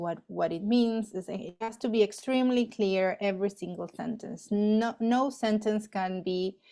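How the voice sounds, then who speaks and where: A woman's dark, mellow tone with a Spanish accent, moderate in pace, with fairly even intonation. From Argentina. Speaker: astrophysicist. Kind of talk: interview. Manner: hesitant, many fillers.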